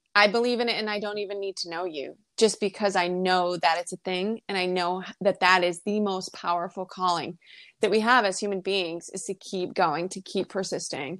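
A woman with a normal speaking voice and an American accent speaks at medium pitch and a moderate pace with fairly even intonation, in a very clean recording with a silent background and a dry, close sound with no echo. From US Northeast, rural Maine. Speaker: holistic health practitioner and intuitive. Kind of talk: casual interview.

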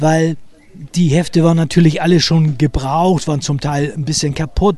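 Noticeable background noise is present. A man does the talking. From Hamburg, St. Pauli. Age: 70s. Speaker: author and local history guide. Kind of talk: guided walking tour, storytelling to children. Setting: outdoors, walking through city streets.

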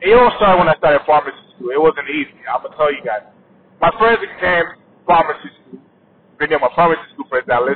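Speaking at a fairly quick pace with an African accent, a man with a fairly high pitch and ordinary pitch variation shows big swings in loudness over noticeable background noise. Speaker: podcaster. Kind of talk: casual solo monologue, unscripted. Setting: in a car while driving. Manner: casual, conversational.

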